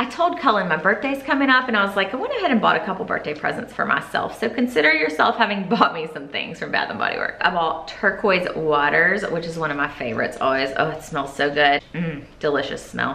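Very fast speech from a woman amid audible room echo. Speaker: lifestyle vlogger. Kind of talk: casual haul vlog chat. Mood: cheerful and enthusiastic. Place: home room.

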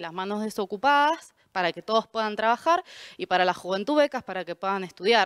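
A woman with lively intonation at a moderate pace, in a dry sound with no echo against a quiet background. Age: 20s. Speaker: political candidate, secondary school teacher; candidate, teacher. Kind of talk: campaign statement. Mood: earnest, combative. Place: studio. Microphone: handheld.

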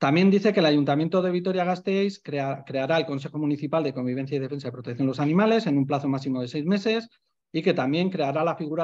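A fairly high-pitched man's voice with ordinary pitch variation, at a very fast pace against a quiet background. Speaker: animal welfare association member; presenter. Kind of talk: online panel talk. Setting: video call. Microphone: video call.

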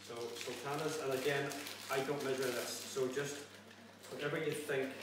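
A man's voice comes through noticeable background noise and audible room echo. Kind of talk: tutorial. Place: kitchen. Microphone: camera far.

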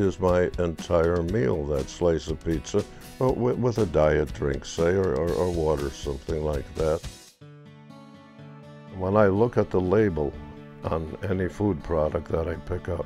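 Faint music plays behind a man with a very deep, low pitch. He speaks at a fairly slow pace with ordinary pitch variation. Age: 80s+. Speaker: elderly man sharing his diabetes routine. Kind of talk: casual talk to camera. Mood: calm, matter-of-fact. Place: home room. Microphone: lapel.

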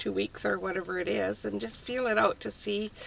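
Her voice is very deep and low for a woman, with very wide pitch swings. She speaks at a moderate pace. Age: 60s. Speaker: retiree living in a van. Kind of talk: casual interview. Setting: inside a parked van.

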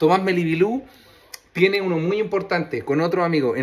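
This is a man talking. He has a Chilean accent. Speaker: podcast host and comedian; podcast host, comedian. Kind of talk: casual chat. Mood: cheerful, joking. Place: home room. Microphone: phone near.

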